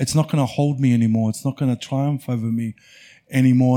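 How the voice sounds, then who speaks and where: With an Australian accent and a dark, mellow tone, a man speaks with fairly even intonation in a dry, close sound with no echo, on a very clean recording with a silent background. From Australia, rural Victoria (Mount Beauty). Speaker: refugee advocate and author. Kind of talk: live festival conversation. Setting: stage with audience.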